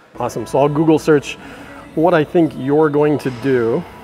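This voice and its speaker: Faint music plays in the background as the voice keeps ordinary pitch variation. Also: man. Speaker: mentalist vlogger. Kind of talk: casual vlog chat. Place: gym. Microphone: lapel.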